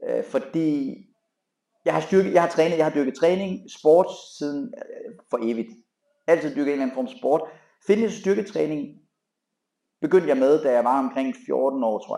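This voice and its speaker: Dark and mellow in tone yet fairly high in pitch, a man speaks at a fairly slow pace with long, frequent pauses, very wide pitch swings and big swings in loudness. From Jutland, Denmark (farm). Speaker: fitness trainer and gym owner. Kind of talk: casual interview chat.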